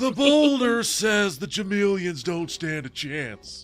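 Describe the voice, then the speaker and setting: Over faint background music, a man puts on a high-pitched character voice and speaks at a fairly slow pace. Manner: boastful, proclaiming.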